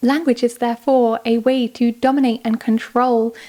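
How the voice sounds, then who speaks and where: Her pitch high for a woman, she speaks at a moderate pace with monotone, flat intonation and a dark, mellow tone. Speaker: video essayist. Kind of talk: scripted narration. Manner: conversational.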